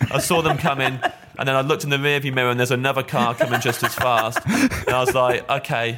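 With noticeable background noise, a man speaks at a very fast pace in a medium pitch and fairly even intonation. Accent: East Midlands. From England, Kettering (East Midlands). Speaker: stand-up comedian. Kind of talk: casual chat.

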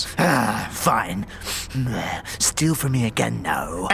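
A man puts on a character voice at a medium pitch. Clear background noise can be heard. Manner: growling, angry.

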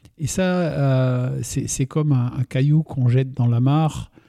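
A man's medium-pitched voice, dark and mellow in tone, at a very slow pace with fairly even intonation. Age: 60s. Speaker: winemaker. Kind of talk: interview. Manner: calm, measured.

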